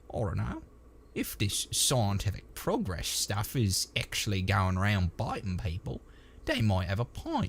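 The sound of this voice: A man's put-on character voice, fairly low-pitched, fairly slow, with very wide pitch swings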